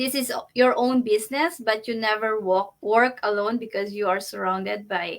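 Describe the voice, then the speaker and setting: A woman with a Filipino accent speaks in a fairly high pitch at a moderate pace, her pitch varying in an ordinary way. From Philippines. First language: Tagalog. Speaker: online business entrepreneur. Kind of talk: interview. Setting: live video stream.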